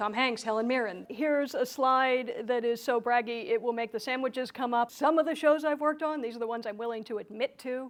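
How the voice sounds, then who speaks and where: This woman has an American accent and a high pitch. She talks at a fairly quick pace. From US, Philadelphia. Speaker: keynote speaker and comedian. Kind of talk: keynote speech. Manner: animated.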